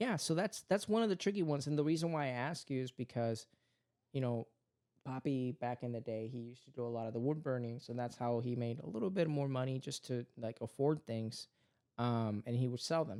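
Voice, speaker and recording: A man with a Spanish accent and a dark, mellow tone speaks with ordinary pitch variation in a dry, close sound with no echo. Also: medium pitch for a man. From Puerto Rico. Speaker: podcast host and father. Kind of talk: casual family chat.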